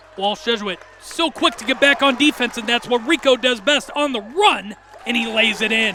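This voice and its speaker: Over crowd noise in the background, a man uses a raised, projected voice at an extremely high pitch with ordinary pitch variation. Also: moderate pace. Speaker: basketball play-by-play announcer. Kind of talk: live TV sports play-by-play commentary. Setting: arena broadcast with crowd noise. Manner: conversational, analytical.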